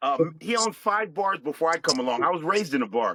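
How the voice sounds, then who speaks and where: A man with a Philadelphia accent, a bright, sharp tone and lively intonation. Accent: Philadelphia-area American. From US, Chester, Pennsylvania (Philadelphia area). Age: 60s. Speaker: military veteran and live-stream host. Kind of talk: podcast interview, life story.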